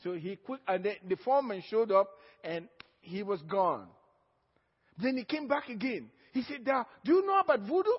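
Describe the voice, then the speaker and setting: Speaking at a moderate pace with an African accent, the voice carries lively intonation broken by long, frequent pauses. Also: man, high pitch for a man. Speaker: pastor. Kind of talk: sermon.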